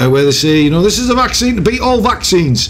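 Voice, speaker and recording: A man with a British accent talks at a fairly quick pace, his pitch swinging very widely, with audible room echo and noticeable background noise. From UK. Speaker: gaming YouTuber. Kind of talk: gameplay commentary with casual rant. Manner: hesitant, lots of fillers; animated.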